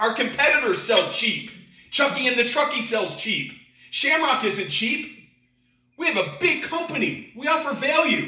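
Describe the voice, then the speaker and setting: A man uses a raised, projected voice at an extremely high pitch and a moderate pace. Audible room echo surrounds him. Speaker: sales trainer. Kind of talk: sales training presentation. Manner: animated.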